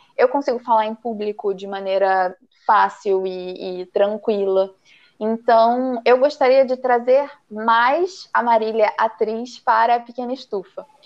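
Ordinary pitch variation marks a woman's plain, everyday voice. She speaks at a fairly slow pace. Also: fairly high pitch for a woman. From Brazil, interior of Paraná. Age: 20s. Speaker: embroidery teacher. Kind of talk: casual chat.

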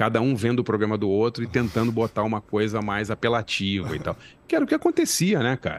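Recorded with a dry, close sound and no echo, a man of medium pitch talks at a very fast pace with fairly even intonation. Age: 50s. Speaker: journalist and screenwriter. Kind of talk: casual interview.

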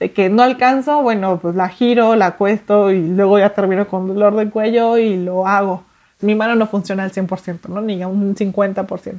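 Talking at a fairly slow pace with hardly any pauses, a woman uses an unremarkable speaking voice at a medium pitch and fairly even intonation. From Mexico City. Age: 30s. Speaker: artist. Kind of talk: interview testimony.

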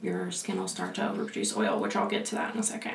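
There is noticeable background noise. A woman speaks with an American accent. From Pensacola, Florida. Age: 20s. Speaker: esthetician, podcast co-host, former military. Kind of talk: casual chat, podcast.

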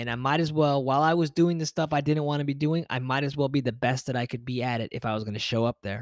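Speaking very fast in a medium pitch, a man shows ordinary pitch variation. The recording is very clean, dry and close, with a silent background and no echo. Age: 30s. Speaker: podcast host and yoga teacher. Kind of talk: motivational solo podcast monologue. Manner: casual, conversational with fillers.

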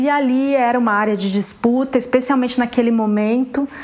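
With noticeable background noise, a woman speaks in a high pitch with fairly even intonation. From São Paulo state, Brazil (Ribeirão Preto). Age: 50. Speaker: visual artist. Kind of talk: interview.

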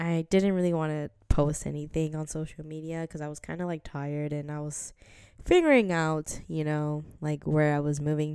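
In an American accent, a woman speaks with a very deep, low pitch at a moderate pace. Her intonation is monotone and flat, on a very clean recording with a silent background. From New Jersey. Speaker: podcast host. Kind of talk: casual solo vlog-style chat. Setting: home apartment, video recording. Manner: hesitant, many fillers and laughs.

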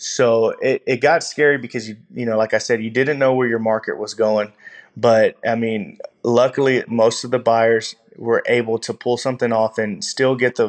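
A man talks at a moderate pace in a Texan accent. His pitch is medium. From Texas, Gulf Coast. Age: 20s. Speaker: shrimper and oyster farmer. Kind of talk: interview.

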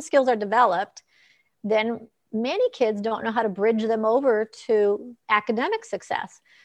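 This woman has an ordinary speaking voice with a fairly high pitch and ordinary pitch variation. The background is quiet. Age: 60s. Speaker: optometrist and author. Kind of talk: casual interview. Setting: live video stream.

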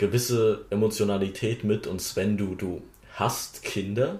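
Fairly even intonation in somewhat breathy speech. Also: man. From Wittenberg, Saxony-Anhalt, Germany. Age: young. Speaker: politician, parliamentary candidate. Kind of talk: casual chat.

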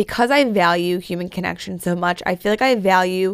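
A woman has an unremarkable speaking voice at a medium pitch. She talks at a moderate pace. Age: 20s. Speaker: podcast host. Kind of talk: solo podcast monologue. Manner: casual, filler-heavy.

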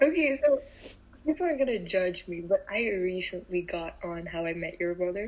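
A woman speaks at a moderate pace in a normal speaking voice. Her pitch sits in the middle range and her intonation is lively. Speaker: law student. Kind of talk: casual chat. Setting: call.

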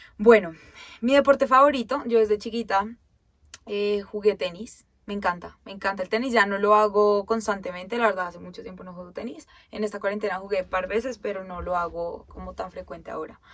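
The speaker moves at a fairly quick pace with ordinary pitch variation. Loudness swings widely. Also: woman, medium pitch for a woman. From Colombia, Bogotá and Girardot. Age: 20s. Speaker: podcast co-host. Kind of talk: casual chat. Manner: animated.

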